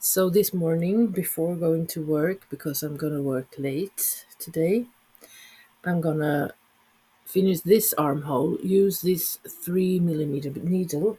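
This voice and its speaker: Fairly slow speech with a Swedish accent. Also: very clean recording, silent background. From Sweden. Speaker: knitting vlogger. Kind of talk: casual vlog talk. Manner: halting, many fillers.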